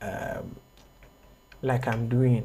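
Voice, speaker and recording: A man speaks at a medium pitch, his voice somewhat breathy. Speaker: graphic design instructor. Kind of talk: online tutorial.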